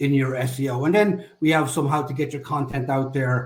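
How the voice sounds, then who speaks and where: Speaking with an Irish accent, a man sounds somewhat breathy and keeps his intonation fairly even. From Ireland. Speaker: SEO agency executive. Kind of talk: webinar presentation. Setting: live online webinar.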